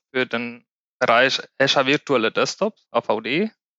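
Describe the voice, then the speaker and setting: Against a quiet background, a man with a bright, sharp tone and medium pitch talks at a very slow pace. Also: dry, close sound with no echo. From Spain. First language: Spanish (speaking German). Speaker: IT cloud consultant. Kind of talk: casual podcast discussion.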